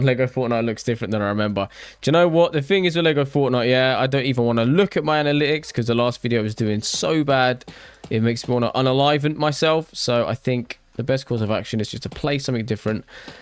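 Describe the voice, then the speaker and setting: A man with a British accent at a very fast pace, medium pitch and ordinary pitch variation. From Britain. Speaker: gaming YouTuber, livestreamer. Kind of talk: casual livestream chat while building.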